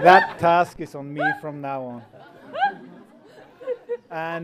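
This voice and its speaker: Against noticeable background noise, a man speaks in a monotone with flat intonation. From Iceland. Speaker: groom. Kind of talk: wedding speech. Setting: wedding reception.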